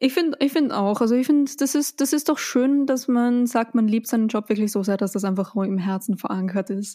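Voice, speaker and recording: A woman talks at a fairly quick pace and fairly high pitch with ordinary pitch variation, very even loudness, and hardly any pauses, on a very clean recording with a silent background. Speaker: podcast host. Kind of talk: casual chat. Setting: home studio in a pillow fort.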